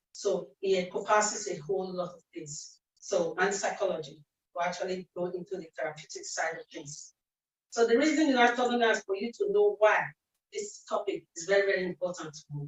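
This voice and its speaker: Somewhat breathy, a woman speaks at medium pitch and a fairly quick pace, with lively intonation and big swings in loudness. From Nigeria, Benin City. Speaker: speech and language therapist, event speaker. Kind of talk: presentation talk.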